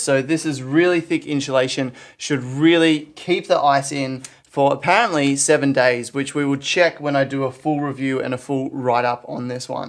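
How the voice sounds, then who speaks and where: His pitch shifts in an ordinary way. The speaker is a man with an Australian accent. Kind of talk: product unboxing review to camera.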